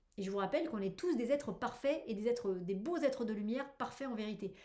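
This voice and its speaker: A woman speaks very fast with a fairly high pitch. Her pitch varies in an ordinary way. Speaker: tarot reader. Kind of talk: weekly tarot reading video. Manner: animated; hesitant with fillers.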